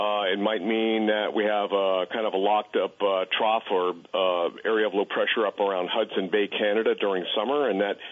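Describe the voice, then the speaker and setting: A man with an unremarkable speaking voice and a fairly low pitch talks at a moderate pace. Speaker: radio weather forecaster. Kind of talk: casual interview.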